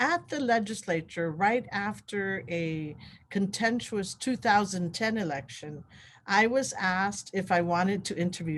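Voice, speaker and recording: Somewhat breathy medium pitch from a woman with a Guamanian accent, at a moderate pace. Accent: Guamanian (Chamorro) English. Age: 60s. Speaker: election official. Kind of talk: interview.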